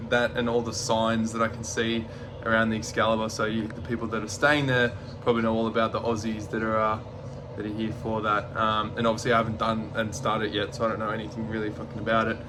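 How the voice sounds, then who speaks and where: A man's very fast, monotone and flat delivery in an Australian accent, with noticeable background noise and audible room echo. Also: medium pitch for a man. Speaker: vlogger, male revue performer. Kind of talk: travel vlog narration. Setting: outdoors walking the strip. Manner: casual, filler-heavy.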